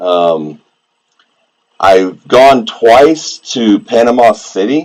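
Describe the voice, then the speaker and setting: A man in a relaxed tone with a Southeast Texas accent. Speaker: coin collector and metal detectorist streamer. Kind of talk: casual live-stream chat. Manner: relaxed, casual.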